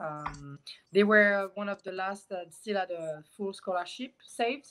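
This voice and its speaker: A woman speaks with a French accent. Her pitch is medium. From France. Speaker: professional swimmer. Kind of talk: casual chat.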